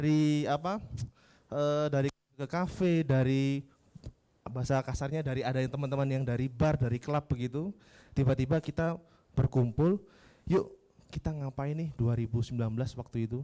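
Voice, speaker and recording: The voice has a dark, mellow tone, moderate pace and ordinary pitch variation. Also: man, fairly high pitch for a man. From Yogyakarta, Java, Indonesia. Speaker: civic organization coordinator. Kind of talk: workshop presentation. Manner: casual, interactive.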